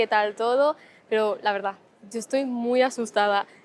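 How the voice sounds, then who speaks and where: Fairly even intonation from a woman, pitched fairly high. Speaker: travel vlogger. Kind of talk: travel vlog. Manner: fast.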